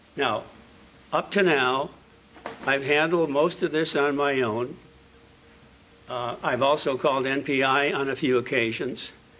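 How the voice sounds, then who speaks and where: Against noticeable background noise, a man with a fairly high pitch talks fairly slowly in a fairly even intonation, leaving long, frequent pauses. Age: 80s+. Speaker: property owner, landlord. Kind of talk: public comment at hearing. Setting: city board meeting room. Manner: quavering; formal.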